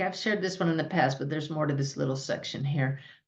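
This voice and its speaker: A somewhat breathy woman's voice with very deep, low pitch. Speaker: spiritual teacher and medium. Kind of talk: podcast talk to audience.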